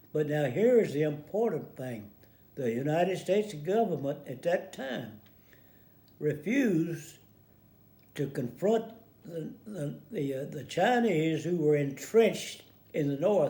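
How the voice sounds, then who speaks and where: Audible room echo carries a man's dark, mellow voice with lively intonation. He speaks at a fairly slow pace with long, frequent pauses. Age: 80s+. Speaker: war veteran. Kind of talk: casual commentary. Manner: halting, many repeated words.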